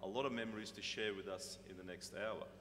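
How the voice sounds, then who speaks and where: In a room with audible echo, a man talks at a fairly slow pace in a bright, sharp tone. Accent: Australian. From Australia, Sydney. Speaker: panel moderator, company executive. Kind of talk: moderating a conference panel. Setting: stage with audience.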